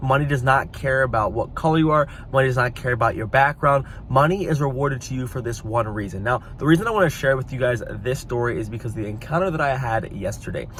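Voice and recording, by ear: Few pauses break up the fairly quick pace, and the intonation stays lively. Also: man.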